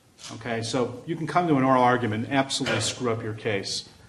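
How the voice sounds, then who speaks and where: The man's voice comes across as somewhat breathy. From US Midwest, Chicago. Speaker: law school faculty, moot court judge. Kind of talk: feedback remarks to competitors.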